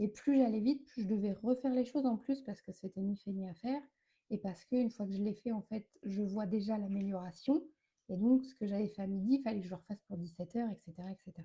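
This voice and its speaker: A woman with a dark, mellow tone and medium pitch speaks at a very fast pace, somewhat breathy, with ordinary pitch variation. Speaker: wellness coach. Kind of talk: live stream talk. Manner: hesitant fillers.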